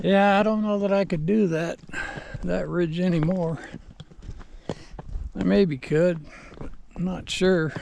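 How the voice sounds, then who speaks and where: A man's high voice, relaxed in tone, with fairly even intonation and long, frequent pauses. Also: fairly slow pace. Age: 70s. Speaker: vlogger. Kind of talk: casual vlog monologue. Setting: outdoors on horseback. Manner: relaxed, unhurried.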